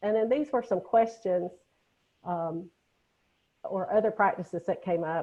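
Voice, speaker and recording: A woman with a Southern US accent, medium in pitch and dark, mellow in tone, with lively intonation, a fairly slow pace and long, frequent pauses, against a quiet background. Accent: Southern US (Georgia). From Georgia, US South. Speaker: nurse educator, webinar presenter. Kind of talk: webinar lecture. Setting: online webinar.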